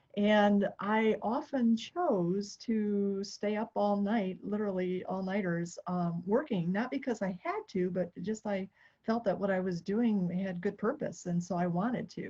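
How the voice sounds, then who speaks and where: Against a quiet background, a woman with an American accent speaks at a fairly slow pace with hardly any pauses, her medium-pitched voice dark, mellow and somewhat breathy. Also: ordinary pitch variation. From United States. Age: 60s. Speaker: triathlete and retired nonprofit founder. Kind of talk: podcast interview.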